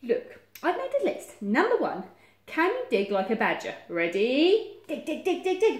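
A woman in a put-on character voice speaks at a fairly slow pace, her high pitch moving in very wide swings.

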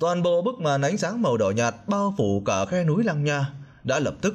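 A man's very wide pitch swings come through a somewhat breathy voice at a moderate pace. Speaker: audiobook narrator. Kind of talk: reading aloud.

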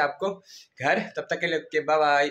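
The intonation stays fairly even as the man speaks. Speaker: home vlogger. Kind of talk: casual vlog chat. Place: home room. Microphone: phone near.

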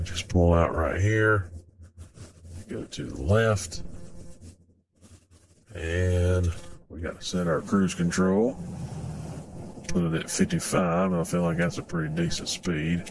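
A man speaks at a fairly slow pace with a very deep, low pitch and a somewhat breathy sound. His intonation is fairly even, broken by long, frequent pauses. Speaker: gaming video creator. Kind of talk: casual gameplay commentary.

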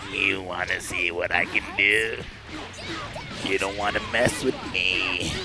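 Loud music plays behind a man doing a put-on character voice. He talks at a fairly slow pace in a very deep, low pitch.

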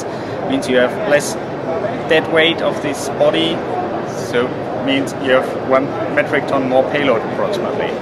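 A man speaks at a moderate pace through loud background noise. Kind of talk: interview answer. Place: hall.

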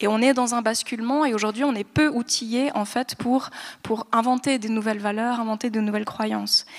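A woman's fairly high-pitched voice, flat and monotone, at a moderate pace against a quiet background. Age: 30s. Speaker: doctoral researcher; guest. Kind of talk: panel discussion. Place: hall. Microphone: handheld.

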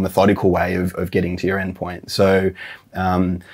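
Very deep, low-pitched male voice against a quiet background. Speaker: interviewee. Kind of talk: interview answer. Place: office. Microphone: lapel.

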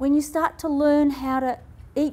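Her voice sits high in pitch. A woman speaks with an Australian accent. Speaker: health and wellness speaker; speaker. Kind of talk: talk to live audience. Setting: stage with audience. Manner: animated. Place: hall. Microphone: lapel.

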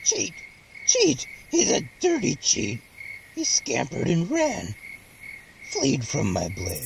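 A put-on character voice with a whiny tone, broken up by long, frequent pauses. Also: fairly slow pace. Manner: singsong, creepy, whiny.

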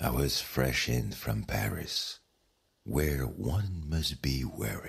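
A man with a very deep, low pitch and a gentle, warm tone, lively intonation, very even loudness and a very slow pace. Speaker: bedtime story narrator. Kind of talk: bedtime story, guided sleep meditation with scripted narration. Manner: soft, slow, soothing, calm and hushed; gentle, warm, dreamy storytelling.

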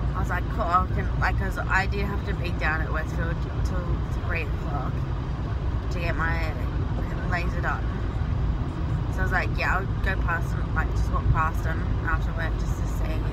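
Moderate pace with long, frequent pauses over loud background noise. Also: woman. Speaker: vlogger. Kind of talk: casual vlog chat. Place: car. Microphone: phone near.

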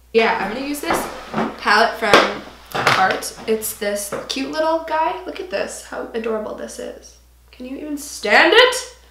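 Loudness swings widely at a fairly slow pace. Audible room echo and light background noise surround the speech. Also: woman. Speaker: beauty vlogger. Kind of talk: tutorial. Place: home room.

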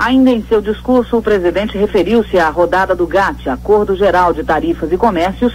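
Noticeable background noise sits behind the speech. It moves at a moderate pace with ordinary pitch variation and hardly any pauses. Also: man, high pitch for a man. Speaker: radio news announcer. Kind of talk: radio news bulletin read.

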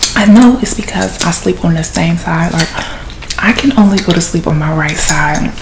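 With noticeable background noise behind her, a woman talks at a fairly low pitch and a moderate pace. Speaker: ASMR content creator and podcaster. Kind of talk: ASMR gum-chewing soft-spoken chat, casual rambling; whispered, intimate ASMR confiding, hushed close-mic murmur. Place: home room. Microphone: phone near.

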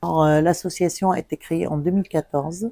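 In a dry sound with no echo over a quiet background, a woman with a very deep, low pitch and dark, mellow tone speaks at a very slow pace with fairly even intonation. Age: 60s. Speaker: cancer survivor and patient association volunteer. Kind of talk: interview testimony. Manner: hesitant with many fillers. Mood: calm, earnest. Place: home room.

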